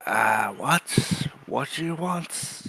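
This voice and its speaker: Fairly high-pitched put-on character voice from a man. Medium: actual play. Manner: dry, deadpan.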